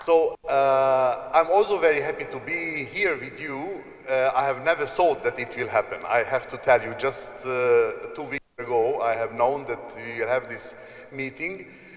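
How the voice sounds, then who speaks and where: A man with a Hungarian accent, fairly high in pitch, with ordinary pitch variation, big swings in loudness and noticeable background noise. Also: moderate pace. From Hungary. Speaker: apostolic nuncio, archbishop. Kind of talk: informal address to students. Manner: halting, many fillers.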